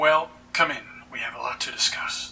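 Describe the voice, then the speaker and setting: Raspy and put-on, a man's character voice comes through. He keeps a moderate pace. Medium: machinima.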